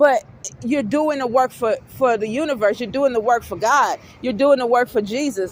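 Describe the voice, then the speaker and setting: Noticeable background noise sits behind a woman's voice. She talks at a moderate pace in a high pitch with ordinary variation. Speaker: spiritual vlogger. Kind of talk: casual monologue. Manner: halting.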